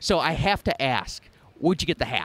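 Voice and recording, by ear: A man talks at a moderate pace with a fairly high pitch and a fairly bright tone. His pitch swings widely.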